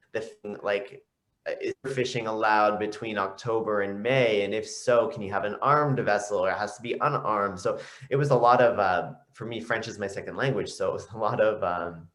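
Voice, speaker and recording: Speaking at a fairly quick pace with a Canadian accent, a man at medium pitch keeps his intonation fairly even amid audible room echo. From Canada. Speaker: aqua fitness instructor. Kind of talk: casual interview chat. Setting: video call.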